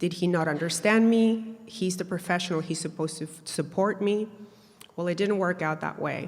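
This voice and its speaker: Here a woman speaks with a Spanish accent at a moderate pace. Her pitch is fairly low and her intonation fairly even. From Peru, raised in Canada from childhood. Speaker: mental health advocate and artist. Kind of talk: workshop talk, personal story. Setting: university event with audience. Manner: hesitant, many fillers.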